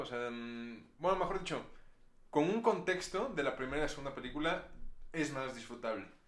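There is audible room echo around a man. His intonation is lively. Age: 20s. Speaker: film podcast host. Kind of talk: casual chat.

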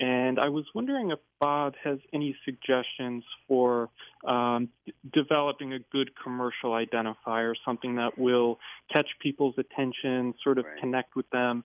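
An American accent from a man of medium pitch, his intonation fairly even and his pace moderate. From New Jersey. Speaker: caller, inventor. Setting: phone call. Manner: nervous.

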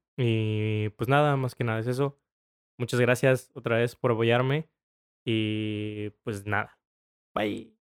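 Speech comes at a very slow pace with long, frequent pauses and fairly even intonation, in a dry, close sound with no echo on a very clean recording with a silent background. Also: man, medium pitch for a man. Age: 20s. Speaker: podcast host. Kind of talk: casual chat. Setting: recording post-episode note. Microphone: new microphone.

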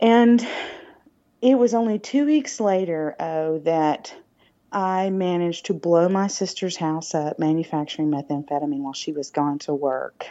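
Here a woman speaks in a Southern US accent with a fairly low pitch. Her intonation is lively. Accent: southern drawl. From US South, Alabama. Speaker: recovering addict and public speaker. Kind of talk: testimony.

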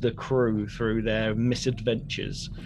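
A man with a British accent in a monotone, flat delivery at a fairly slow pace, over noticeable background noise. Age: 30s. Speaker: podcast co-host. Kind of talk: casual chat.

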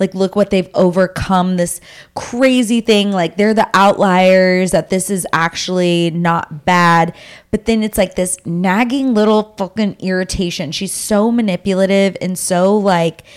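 Speaking at a fairly slow pace, a woman with a medium pitch uses an animated tone. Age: 30s. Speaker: podcast host. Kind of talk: casual chat.

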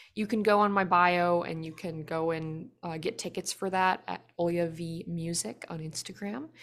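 On a very clean recording with a silent background, an unremarkable speaking voice moves at a moderate pace with fairly even intonation and hardly any pauses. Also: woman, fairly low pitch for a woman. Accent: American. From United States. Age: 20s. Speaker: singer-songwriter. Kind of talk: interview.

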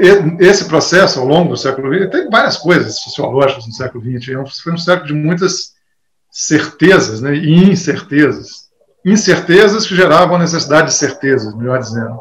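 A man with a plain, everyday voice, fairly high in pitch, speaks at a moderate pace with lively intonation and big swings in loudness. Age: 60s. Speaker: guitar teacher. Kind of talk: interview. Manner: casual, conversational.

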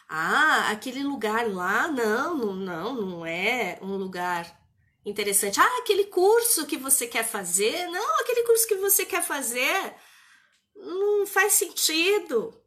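In a raised, projected voice, a woman speaks at a very slow pace with a high pitch and very wide pitch swings, her tone both warm and bright and sharp. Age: 50s. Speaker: therapist and mentor. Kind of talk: live stream talk. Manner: warm, conversational.

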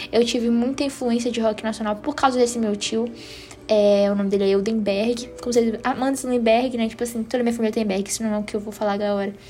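Against noticeable background noise, a woman talks at a very fast pace in a fairly high voice. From Northeast Brazil. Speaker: podcast host. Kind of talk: casual chat. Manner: animated.

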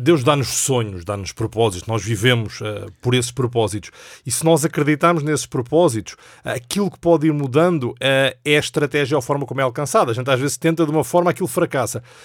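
A man talks at a fairly quick pace in an unremarkable speaking voice with medium pitch. The recording is very clean, with a silent background. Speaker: executive director of a Bible society. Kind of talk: casual chat. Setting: studio.

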